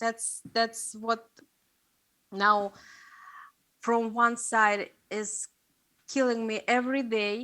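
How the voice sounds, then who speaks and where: A woman with a Russian accent talks very slowly in a fairly high, bright, sharp voice with fairly even intonation, on a very clean recording with a silent background. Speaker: investigative journalist. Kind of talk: seminar talk. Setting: stage with audience. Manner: halting, many fillers.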